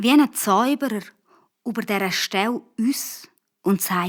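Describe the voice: The background stays quiet. It is plain reading aloud, and the pitch varies in an ordinary way.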